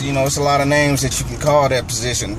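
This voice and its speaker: Against noticeable background noise and audible room echo, a man with an American accent talks at a moderate pace. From North Carolina. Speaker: football analyst, former player. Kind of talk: sports analysis monologue. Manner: animated, repetitive with false starts.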